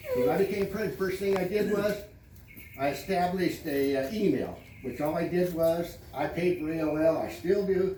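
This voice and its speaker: A man talks loudly at a moderate pace in a high voice with ordinary pitch variation, over noticeable background noise and audible room echo. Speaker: homeowners association president. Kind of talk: community meeting address. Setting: public meeting with audience. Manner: loud, raised voice; blunt, brusque.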